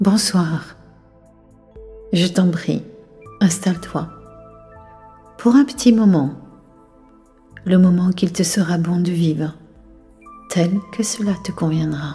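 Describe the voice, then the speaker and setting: Music plays in the background while a soft-spoken woman with a fairly low pitch and a soothing tone talks at a very slow pace with long, frequent pauses. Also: ordinary pitch variation. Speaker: hypnotherapist. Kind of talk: sleep hypnosis session. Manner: soft-spoken, slow, soothing.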